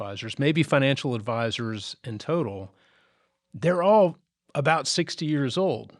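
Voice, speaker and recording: Recorded very cleanly against a silent background, a man with a normal speaking voice talks at a medium pitch with lively intonation. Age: 60s. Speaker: financial planner, podcast co-host. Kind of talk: podcast conversation.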